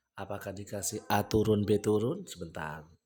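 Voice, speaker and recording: A man's fairly low, somewhat breathy voice at a moderate pace. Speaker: trading educator. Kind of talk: live trading tutorial. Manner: casual, conversational.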